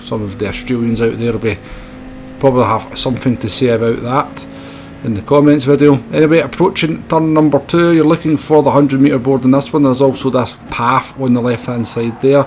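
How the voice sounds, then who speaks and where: Against noticeable background noise, a man with a Scottish accent talks at a fairly quick pace, his pitch medium and its variation ordinary. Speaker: sim racing video creator. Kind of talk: tutorial commentary.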